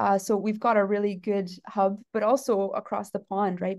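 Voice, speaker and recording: In a Canadian accent, a woman speaks at a medium pitch and a moderate pace with flat, monotone intonation against a quiet background. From Canada, southwestern Ontario. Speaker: geneticist professor. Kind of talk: casual interview. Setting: conference venue. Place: office. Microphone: video call.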